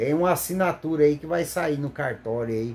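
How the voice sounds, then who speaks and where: A man's fairly high voice carries lively intonation at a moderate tempo. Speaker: lay preacher. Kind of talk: sermon. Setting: recorded video, not live. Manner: halting, stumbles over words; fervent, exclamatory.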